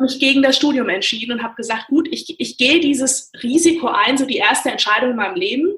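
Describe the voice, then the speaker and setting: At a moderate pace, a woman talks with lively intonation and a high pitch. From Frankfurt, Germany. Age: 30s. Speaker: airline pilot. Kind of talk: interview.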